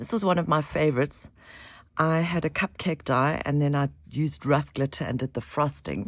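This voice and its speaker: A woman speaks at a very deep, low pitch with vocal fry and ordinary pitch variation, at a moderate pace. The recording is very clean, with a silent background. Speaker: craft tutorial maker. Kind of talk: tutorial. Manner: halting.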